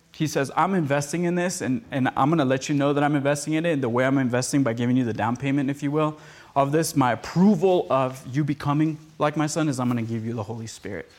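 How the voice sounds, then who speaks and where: On a very clean recording with a silent background, a man speaks at a very fast pace in a fairly high pitch with ordinary pitch variation. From Costa Rica. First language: Spanish. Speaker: podcast producer and speaker. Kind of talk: teaching message with casual banter.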